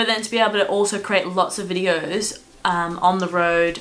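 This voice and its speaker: The intonation is monotone and flat. Audible room echo and noticeable background noise surround the voice. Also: woman. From Australia. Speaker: travel vlogger. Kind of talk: casual chat. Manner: chatty.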